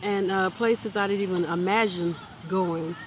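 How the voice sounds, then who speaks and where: The speaker's tone is relaxed, at a moderate pace. Noticeable background noise runs behind the voice. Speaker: motivational vlogger. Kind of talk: unscripted motivational vlog. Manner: halting, stuttering; relaxed, conversational.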